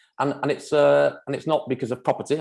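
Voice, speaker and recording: The speaker has a Manchester accent and vocal fry and talks at a very fast pace. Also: man. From Manchester, northern England. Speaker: property developer. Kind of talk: presentation at online forum. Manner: halting, many fillers and repeats.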